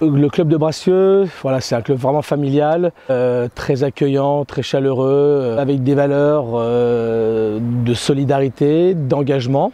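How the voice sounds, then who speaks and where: This man's voice is fairly high. He speaks very slowly. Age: 40s. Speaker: rugby coach. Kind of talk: interview. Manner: halting, many hesitations.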